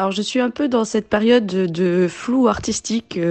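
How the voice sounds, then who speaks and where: A woman's voice with a dark, mellow tone. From Ivory Coast (Abidjan). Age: 20s. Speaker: returning expatriate. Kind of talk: interview. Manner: hesitant.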